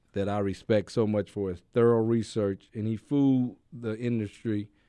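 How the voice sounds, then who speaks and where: The man's voice sits fairly low, with a dark, mellow tone and monotone, flat intonation. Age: 50s. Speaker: activist. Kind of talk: interview.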